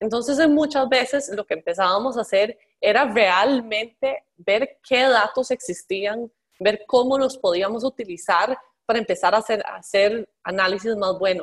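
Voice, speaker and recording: In a dry, close sound with no echo, a woman talks in a normal speaking voice, fairly high in pitch and at a fairly slow pace. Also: ordinary pitch variation. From Costa Rica. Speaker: transport innovation executive. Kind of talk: interview. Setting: remote call.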